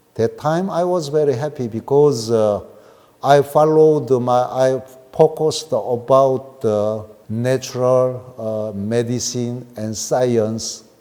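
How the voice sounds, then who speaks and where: This man has a medium pitch and talks at a very slow pace. Background noise is noticeable. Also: ordinary pitch variation. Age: 60s. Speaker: scientist and water researcher. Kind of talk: expo presentation. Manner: halting, with frequent fillers.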